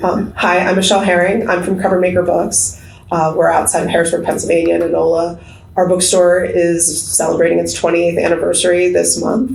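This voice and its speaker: A woman's voice at a fairly quick pace and very even loudness, with noticeable background noise and audible room echo. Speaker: bookstore owner and panel moderator. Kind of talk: conference panel presentation. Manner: fast.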